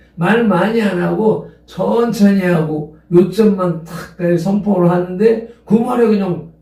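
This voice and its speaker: Very slow speech from a man with a high pitch and ordinary pitch variation, in audible room echo. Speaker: pastor. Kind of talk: sermon.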